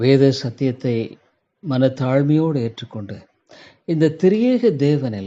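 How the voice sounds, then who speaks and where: A man's fairly high-pitched voice, dark and mellow in tone, with lively intonation over a quiet background. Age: 70s. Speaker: pastor. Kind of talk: sermon.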